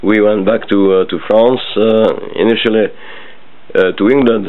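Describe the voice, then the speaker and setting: This man talks at a fairly slow pace with a French accent. His intonation stays fairly even. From French Indochina. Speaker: interviewee recalling his life. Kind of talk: family oral history interview. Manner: halting with many fillers.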